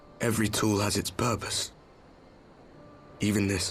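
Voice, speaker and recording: A man puts on a raspy character voice with a fairly low pitch. He speaks at a moderate pace over clear background noise. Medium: video game. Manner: sardonic, brusque.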